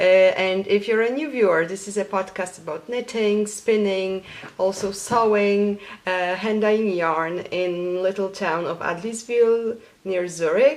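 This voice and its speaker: With a Polish accent, a woman talks at a fairly slow pace with ordinary pitch variation over noticeable background noise. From Poland. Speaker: knitting podcaster. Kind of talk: casual vlog.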